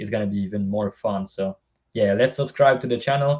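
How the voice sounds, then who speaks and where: A man with a non-native accent and ordinary pitch variation. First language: not English. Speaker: sports betting tipster. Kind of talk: casual podcast chat about betting picks. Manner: casual, repeats words.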